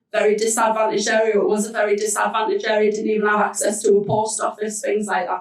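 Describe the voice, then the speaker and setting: Fairly high in pitch, a woman's voice moves at a very fast pace. Her intonation stays fairly even. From Hartlepool, northeast England. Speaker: business support coordinator. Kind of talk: panel talk.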